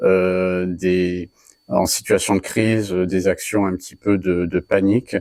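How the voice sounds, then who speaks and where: This is a man with a fairly low pitch. The recording is very clean, with a silent background and a dry, close sound with no echo. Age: 40s. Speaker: cybersecurity trainer and consultant. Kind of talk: interview. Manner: halting, many filler hesitations.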